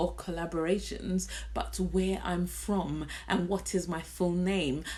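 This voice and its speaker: A woman with a British accent at a fairly slow pace, with audible room echo. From London, England. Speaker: beauty vlogger. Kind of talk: casual chat. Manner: animated.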